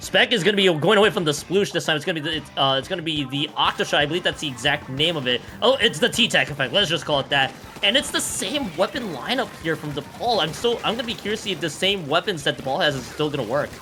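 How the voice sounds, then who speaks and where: Music plays in the background as a man talks. His intonation is lively and his pace very fast. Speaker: esports commentator. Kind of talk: live commentary. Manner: fast, repetitive stammering.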